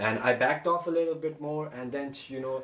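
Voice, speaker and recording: A man with a non-native accent speaks at a moderate pace, his intonation fairly even. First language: not English. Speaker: YouTuber. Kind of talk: personal story vlog. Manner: halting.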